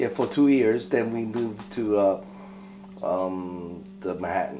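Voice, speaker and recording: Amid noticeable background noise and audible room echo, a man with a fairly low pitch talks at a fairly slow pace with ordinary pitch variation. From New York City, born in Tokyo, Japan. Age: 50s. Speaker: guitar repairer and luthier. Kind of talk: casual interview. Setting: guitar shop. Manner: halting.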